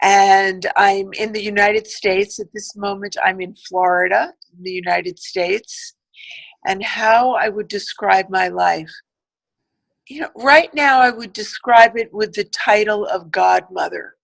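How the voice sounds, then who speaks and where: A woman with an American accent speaks in a plain, everyday voice at medium pitch. Her pace is fairly slow, her pitch varies in an ordinary way, and her loudness swings widely. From US Northeast, Manhattan, New York. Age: 60s. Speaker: podcast guest. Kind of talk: interview, personal life story.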